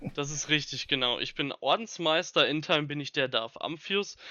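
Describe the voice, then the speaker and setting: Speaking at a moderate pace, a man has an unremarkable speaking voice with a fairly high pitch and ordinary pitch variation. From Ruhr area, Germany (Bochum). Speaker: Star Wars fan club leader. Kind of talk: casual interview.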